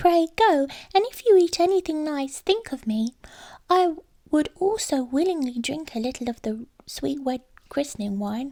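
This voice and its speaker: A put-on character voice from a woman, pitched high and delivered at a moderate pace. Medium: read story. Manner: polite, gentle.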